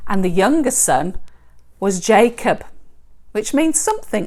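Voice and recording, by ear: The text is read aloud. The voice sounds natural.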